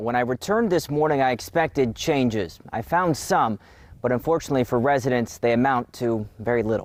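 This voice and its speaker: An ordinary speaking voice, very even in loudness, moves at a fairly quick pace with ordinary pitch variation. The recording is very clean, with a silent background. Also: man, medium pitch for a man. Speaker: television reporter and anchor. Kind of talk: television news reporter package and live shot. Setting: outdoors, live on location. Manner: conversational live report, upbeat.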